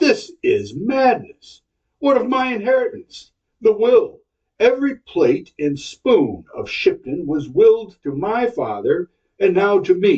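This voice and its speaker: A man uses a put-on character voice at an extremely high pitch. He goes at a fairly slow pace. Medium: read story.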